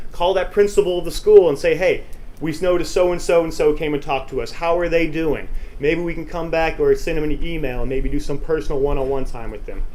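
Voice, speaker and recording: The room echo is audible. Over it, a man's words come at a very fast pace. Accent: American. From Texas. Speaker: motivational speaker. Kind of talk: conference presentation. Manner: animated.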